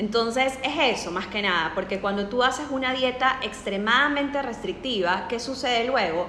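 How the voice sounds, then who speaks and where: Audible room echo and noticeable background noise, ordinary pitch variation, a moderate pace and hardly any pauses. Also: woman, high pitch for a woman. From Ecuador. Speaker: nutritionist. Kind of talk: casual interview.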